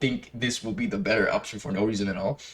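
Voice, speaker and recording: Speaking at a very fast pace with a non-native accent, a man sounds somewhat breathy as his pitch swings very widely. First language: not English. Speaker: gaming youtuber. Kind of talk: gameplay guide commentary. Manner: casual, halting with many fillers.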